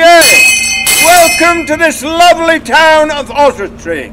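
A man with an extremely high pitch at a very slow pace, with light background noise. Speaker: town crier candidate. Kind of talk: town crier proclamation. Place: street.

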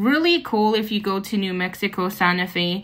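A woman's speech moves at a moderate pace. Her intonation is lively, and the background is quiet. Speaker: travel vlogger. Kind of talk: casual vlog chat. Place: hall. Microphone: phone near.

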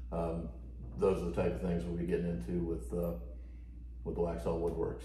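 A man's voice swings very widely in pitch, with audible room echo and light background noise. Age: 40s. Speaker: homesteader and woodworking channel host; woodworking channel host. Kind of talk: casual chat. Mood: upbeat, excited. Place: home room. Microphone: camera far.

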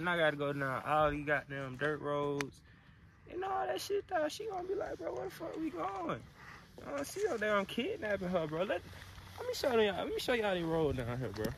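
The recording is dry, with no echo and light background noise. A man speaks at a fairly quick pace. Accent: American. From Alabama, US South (Mobile area); Alabama. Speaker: vlogger. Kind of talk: casual vlog chat. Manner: animated. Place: open country. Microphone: phone near.

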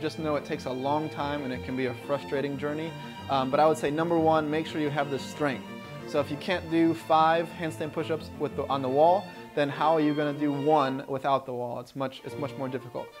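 A man talks at a very fast pace with ordinary pitch variation. Clear music runs in the background. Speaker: fitness coach. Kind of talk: tutorial outro, casual vlog chat. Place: home room. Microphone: phone near.

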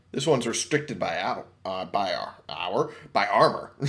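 Vocal fry at a fairly slow pace, with very wide pitch swings. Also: man. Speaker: gaming YouTuber. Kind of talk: let's play commentary. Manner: casual, reads game dialogue aloud.

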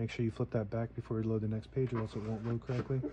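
A man at a very fast pace against noticeable background noise. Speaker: antique seller. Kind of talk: tutorial. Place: workshop. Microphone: phone near.

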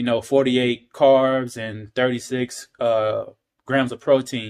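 Male voice, quiet background. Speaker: talk show host vlogger. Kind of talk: casual vlog chat. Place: kitchen. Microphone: phone near.

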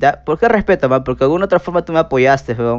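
A man talking at a very fast pace with ordinary pitch variation against a quiet background. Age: 30s. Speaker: streamer. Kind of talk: casual chat. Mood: defensive, scolding. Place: home room. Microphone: headset.

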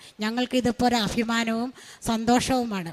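The woman's pitch is high. Her intonation is monotone and flat. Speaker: retired teacher. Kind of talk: religious testimony. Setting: church altar.

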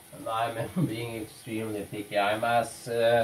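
The speech moves at a fairly slow pace over light background noise. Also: man. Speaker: YouTuber demonstrating shaving. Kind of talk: tutorial; casual tutorial vlog chat. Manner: casual, halting with fillers. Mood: relaxed, playful. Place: bathroom. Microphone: camera far.

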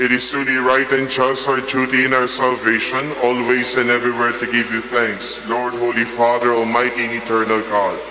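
A man's monotone, flat delivery at a moderate pace with very even loudness and hardly any pauses, over noticeable background noise. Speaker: priest. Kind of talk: liturgical prayer and homily. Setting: church. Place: church.

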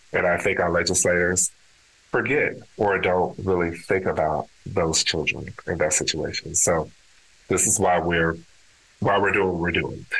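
At a moderate pace and with an American accent, the voice keeps very even loudness and fairly even intonation. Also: man, very deep, low pitch for a man. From Texas, Dallas. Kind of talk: interview conversation.

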